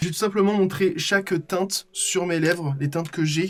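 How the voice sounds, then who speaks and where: Over noticeable background noise, a man speaks at a high pitch with fairly even intonation. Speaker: makeup artist and youtuber. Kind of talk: vlog tutorial. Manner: fast; stammering. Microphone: recorded without external mic.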